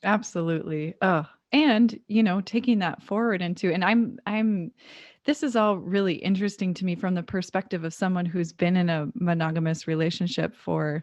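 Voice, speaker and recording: Against a quiet background, a woman talks at a moderate pace in a normal speaking voice, her medium pitch showing ordinary variation. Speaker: podcast host. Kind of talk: interview question, casual conversation.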